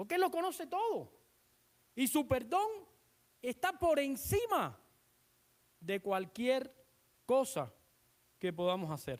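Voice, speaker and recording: Long, frequent pauses break up the very slow delivery. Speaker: pastor. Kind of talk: sermon.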